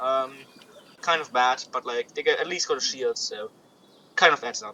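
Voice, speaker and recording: With a non-native accent, the man speaks at a fairly quick pace, his loudness swinging widely between long, frequent pauses. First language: not English. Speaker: gaming YouTuber. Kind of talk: gameplay commentary. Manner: halting, many fillers and repetitions; casual.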